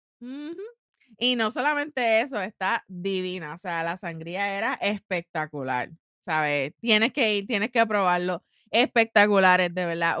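In a very clean recording with a silent background and a dry, close sound with no echo, a woman of medium pitch speaks at a fairly slow pace in a bright, sharp, animated tone. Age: 30s. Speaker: podcast co-host. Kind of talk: casual chat.

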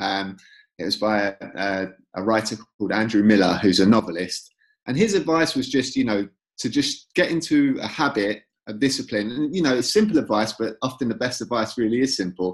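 Speaking with a North London accent, a man talks at a fairly quick pace and a medium pitch, with lively intonation. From North London, England. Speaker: author. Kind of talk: casual chat.

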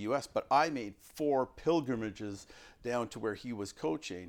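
A man speaks in a plain, everyday voice at a medium pitch with ordinary pitch variation, on a very clean recording with a silent background. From Canada. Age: 50s. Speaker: coaching podcast host. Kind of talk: casual interview.

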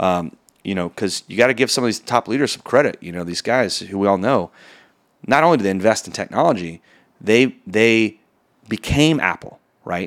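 An unremarkable speaking voice with an American accent and lively intonation moves at a moderate pace on a very clean recording with a silent background. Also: man, fairly low pitch for a man. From Texas. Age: 40s. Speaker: mortgage executive. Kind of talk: casual interview chat.

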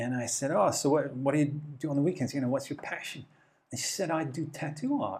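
The voice is somewhat breathy, with ordinary pitch variation. The pace is fairly quick. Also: man, fairly high pitch for a man. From England, Plymouth, Devon. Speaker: advertising executive. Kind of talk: interview.

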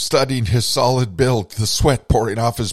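With fairly even intonation, an unforced reading voice carries the text.

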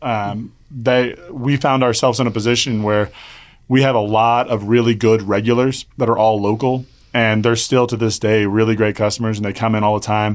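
In a Midwestern American accent, a man talks at a moderate pace and medium pitch with monotone, flat intonation. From Kansas (Wichita). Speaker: brewery co-owner. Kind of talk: casual interview.

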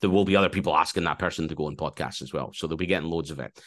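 This man has a very deep, low pitch and a Scottish accent. His intonation stays fairly even, and the background is quiet. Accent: mild Scottish. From Scotland. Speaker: sports broadcaster and podcast co-host. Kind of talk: interview conversation. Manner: loud.

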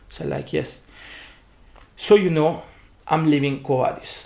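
He speaks at a moderate pace with an Italian accent. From Italy. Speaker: bartender, spirits brand ambassador. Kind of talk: interview. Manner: halting.

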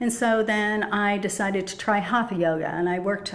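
Audible room echo and noticeable background noise fill this recording. A woman speaks at a moderate pace with medium pitch. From US Midwest, Chicago suburbs. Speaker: gong player and yoga teacher. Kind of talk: casual interview chat.

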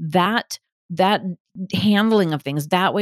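In a very clean recording with a silent background and a dry, close sound with no echo, a woman uses a normal speaking voice at medium pitch, with ordinary pitch variation and a fairly slow pace. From US Midwest, Milwaukee, Wisconsin. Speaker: podcast host, gaslighting specialist. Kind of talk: solo podcast monologue.

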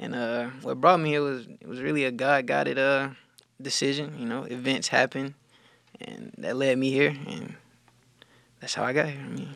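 A man with a Southern US accent talks at a moderate pace and medium pitch, with ordinary pitch variation. His loudness swings widely, and he takes long, frequent pauses. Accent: Southern US (Georgia). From US South, rural south Georgia. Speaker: college track and field athlete. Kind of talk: casual interview.

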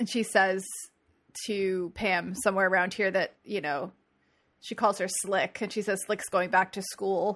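In an American accent, this ordinary speaking voice moves at a fairly slow pace with fairly even intonation. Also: woman, medium pitch for a woman. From New Jersey. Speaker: podcast co-host. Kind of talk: casual chat.

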